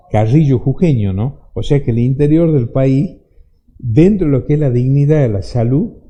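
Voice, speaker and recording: A man with a fairly high, somewhat breathy voice talks at a moderate pace with ordinary pitch variation. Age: 60s. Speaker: lawyer and author, former security minister. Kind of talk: radio interview. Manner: halting, repeats words.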